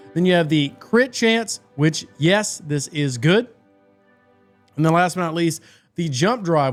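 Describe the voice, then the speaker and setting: Music plays in the background as a man talks at a moderate pace. His pitch is fairly high, with ordinary variation. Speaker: mobile game content creator. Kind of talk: gaming tips video talk.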